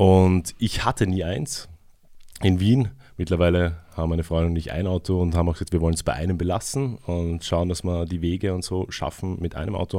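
A man's very deep, low voice in a dark, mellow tone, moving at a fairly quick pace on a very clean recording with a silent background. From Vienna, Austria. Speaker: community radio host. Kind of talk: radio interview. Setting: radio studio.

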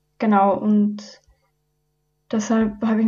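In a quiet background, a woman speaks with a dark, mellow tone that is somewhat breathy. Her medium pitch holds a monotone, flat intonation. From Upper Austria. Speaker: environmental volunteer, student. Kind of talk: radio interview. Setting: radio studio.

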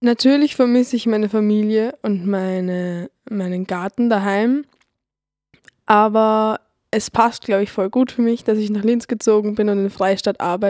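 A woman's plain, everyday voice, fairly high in pitch, at a moderate pace with fairly even intonation, in a dry, close sound with no echo. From Lower Austria, Neulengbach. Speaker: radio volunteer. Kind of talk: scripted personal narration.

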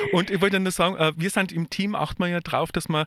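A man at a moderate pace, on a very clean recording with a silent background and a dry, close sound with no echo. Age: 50s. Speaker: radio host and social worker. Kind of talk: radio interview. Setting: radio studio. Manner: halting.

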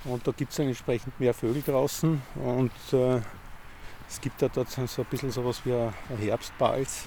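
A man talks fairly slowly in a medium pitch, his intonation monotone and flat. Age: 50s. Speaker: amateur ornithologist. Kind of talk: casual interview on a walk. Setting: outdoors in a park. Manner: halting, many fillers.

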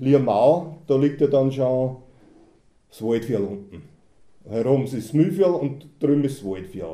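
At a fairly slow pace, a man with a medium-pitched, dark, mellow voice speaks with lively intonation. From Austria, Mühlviertel (Kollmberg). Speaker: dialect poet, car mechanic. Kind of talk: reading aloud.

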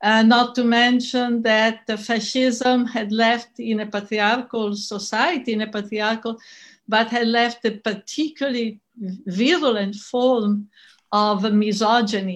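Against a quiet background, the speaker uses an Italian accent, a fairly slow pace and fairly even intonation. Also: woman, fairly high pitch for a woman. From Italy. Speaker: feminist scholar and activist. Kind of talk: conference talk. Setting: online conference recording.

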